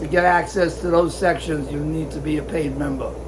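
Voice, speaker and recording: A man is speaking in a room with audible echo. Noticeable background noise is present too. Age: 70s. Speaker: guppy breeder and show exhibitor. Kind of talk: casual video update. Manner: hesitant, many fillers.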